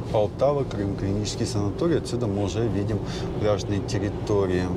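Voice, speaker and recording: Over loud background noise, a man talks at a very fast pace, and the sound is dry with no echo. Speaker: travel vlogger. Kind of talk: casual travel commentary. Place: car. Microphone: lapel.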